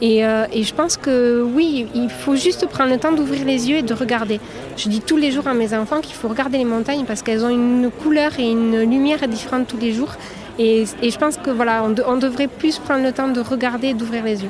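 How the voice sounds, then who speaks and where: Over noticeable background noise, a woman speaks at a high pitch. Her intonation is fairly even and her pace fairly quick. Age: 30s. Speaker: farmer and market vendor. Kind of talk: interview.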